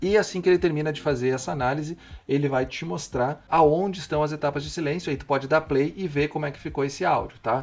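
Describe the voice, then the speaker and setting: A man with a fairly high pitch rushes along at a very fast pace, his loudness swinging widely while his pitch varies in an ordinary way. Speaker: tech tutorial youtuber. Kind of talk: tutorial.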